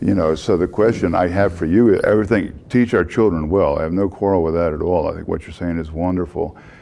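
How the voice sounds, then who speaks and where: Speaking with a Texan accent, a man uses a very deep, low pitch and ordinary pitch variation. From Texas. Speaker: panel member. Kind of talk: panel discussion.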